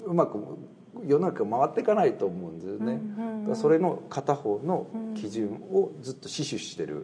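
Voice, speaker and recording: Over noticeable background noise, a man speaks at a moderate pace in a fairly high voice with very wide pitch swings and big swings in loudness. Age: 30s. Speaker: Buddhist priest. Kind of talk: casual interview.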